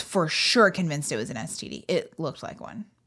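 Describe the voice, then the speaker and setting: Her fairly low voice carries lively intonation and vocal fry. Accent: American. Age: 30s. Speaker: comedian and podcast co-host. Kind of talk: casual chat. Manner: animated.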